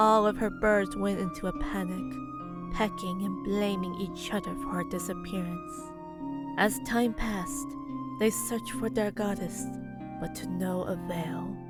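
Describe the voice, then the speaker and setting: A woman speaking at a fairly slow pace, with music in the background. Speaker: voice actor. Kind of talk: fantasy story narration. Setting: home recording, poor audio quality. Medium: audio drama.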